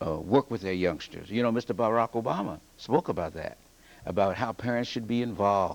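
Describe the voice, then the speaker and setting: Lively intonation at a fairly quick pace in an unremarkable speaking voice. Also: man, medium pitch for a man. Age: 60s. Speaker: English teacher and author. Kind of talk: TV news interview.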